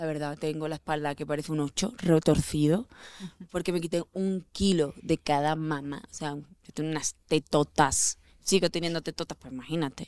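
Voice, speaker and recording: A woman speaks at a moderate pace with a very deep, low pitch and fairly even intonation. The sound is dry and close, with no echo. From Andalusia, Spain. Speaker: actress. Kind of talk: casual chat.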